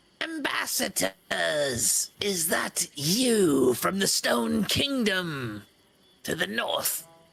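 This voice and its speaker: A put-on character voice, raspy and middle-pitched, at a very slow pace. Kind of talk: formal address.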